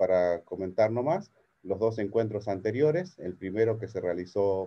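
A man speaks in a plain, everyday voice, pitched fairly low with ordinary pitch variation. His pace is fairly slow. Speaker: webinar host. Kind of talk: event introduction. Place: office. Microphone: video call.

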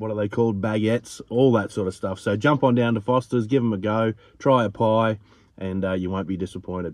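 A man speaks with a slightly mellow tone and a fairly low pitch. His intonation stays fairly even.

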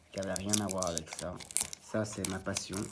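Loud background noise fills the clip. A man is speaking through it. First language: Italian (speaking French). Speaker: card collector YouTuber. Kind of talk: casual unboxing video. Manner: halting, many fillers and repetitions. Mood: a bit nervous, first video. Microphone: phone near.

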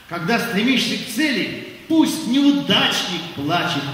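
In a strongly echoing room, a man speaks in a raised, projected voice at a very slow pace, with very wide pitch swings. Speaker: priest. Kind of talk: poetry reading. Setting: concert. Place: stage.

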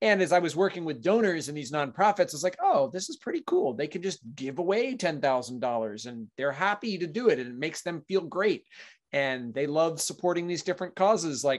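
With hardly any pauses, a man speaks in a high pitch against a quiet background. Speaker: podcast guest. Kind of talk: interview answer. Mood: relaxed, friendly. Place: home room. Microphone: video call.

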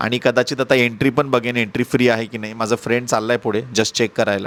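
A man speaks with a plain, everyday voice at a medium pitch. The sound is dry and close, with no echo. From Maharashtra, Marathwada (Udgir, Latur district). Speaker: travel vlogger. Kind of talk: travel vlog narration.

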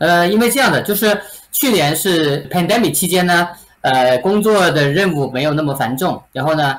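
This man's high pitch and lively intonation come at a moderate pace. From mainland China. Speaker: real estate agent; interviewee. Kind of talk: interview. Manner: halting with many fillers. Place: home room.

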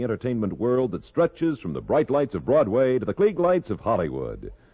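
Over a quiet background, a man talks fairly quickly in an upbeat tone with vocal fry. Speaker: announcer. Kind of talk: radio announcer, promos and credits. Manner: crisp, polished, upbeat announcer delivery. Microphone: old recording.

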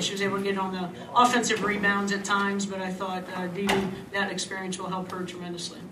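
Over noticeable background noise, a woman talks at a very fast pace in a monotone, flat intonation. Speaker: basketball head coach. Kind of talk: interview answer. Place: hall. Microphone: podium.

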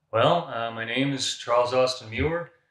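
Over a quiet background with audible room echo, a man speaks at a fairly slow pace in a bright, sharp tone. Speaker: personal trainer. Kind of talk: interview answer. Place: gym. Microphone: camera far.

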